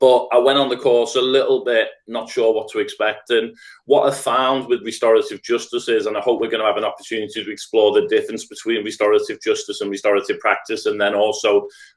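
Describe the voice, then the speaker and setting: Speaking at a very fast pace with a Liverpool accent, a man is heard in a very clean recording with a silent background. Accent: Scouse. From Liverpool, England. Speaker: restorative practice trainer. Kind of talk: podcast interview.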